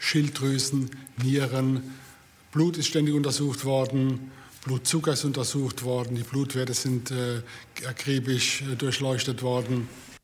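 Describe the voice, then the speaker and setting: At a medium pitch, a man speaks fairly slowly in a monotone, flat way over noticeable background noise. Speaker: patient and city tour guide. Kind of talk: interview testimony.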